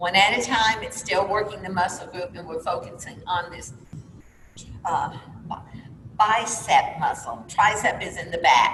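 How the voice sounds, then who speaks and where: A woman at a fairly slow pace, with long, frequent pauses and big swings in loudness, amid noticeable background noise and audible room echo. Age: 60s. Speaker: fitness instructor. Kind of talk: exercise class instruction. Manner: calm, encouraging.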